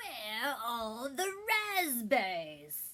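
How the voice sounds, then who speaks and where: A loud, female-sounding put-on character voice sits at a high pitch and swings very widely in pitch. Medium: read story. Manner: loud, exuberant.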